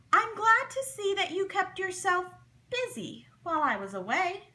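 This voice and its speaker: A woman puts on a squeaky character voice at an extremely high pitch. She keeps to a moderate pace. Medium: read story. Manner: fussy, clucking.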